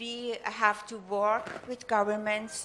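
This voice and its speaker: A voice with a non-native accent and a bright, sharp tone comes through with audible room echo. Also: woman. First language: German or Persian. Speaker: audience member at conference. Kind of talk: audience comment at panel Q&A. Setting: conference hall with audience. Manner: halting, many fillers.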